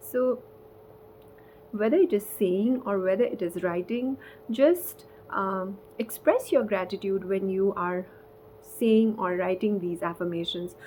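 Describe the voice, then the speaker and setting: Speaking at a fairly slow pace with long, frequent pauses, a woman uses a medium pitch and ordinary pitch variation. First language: not English. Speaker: spiritual content creator. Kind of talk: casual vlog talk. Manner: halting.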